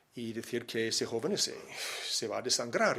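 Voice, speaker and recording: A man at a fairly quick pace. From Miami, Florida, USA. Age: 60s. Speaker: missionary. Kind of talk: personal testimony. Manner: hesitant, many fillers.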